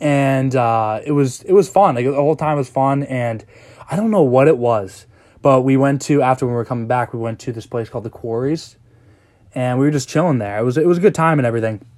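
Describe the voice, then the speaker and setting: Over a silent background in a very clean recording, a man talks at a fairly quick pace and a medium pitch with ordinary pitch variation. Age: 20s. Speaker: entrepreneur and affiliate marketer podcaster. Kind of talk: casual monologue. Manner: halting, many fillers.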